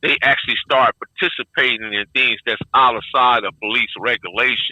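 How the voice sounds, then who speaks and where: This is a normal speaking voice from a man with an American accent, set at medium pitch with fairly even intonation. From Compton, Los Angeles. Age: 60s. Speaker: former gang member. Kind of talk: interview.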